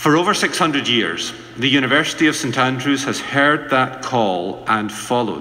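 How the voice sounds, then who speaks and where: Noticeable background noise sits behind a man of medium pitch who speaks at a moderate pace with ordinary pitch variation. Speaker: minister giving a radio worship address. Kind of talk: radio worship address, reflective sermon.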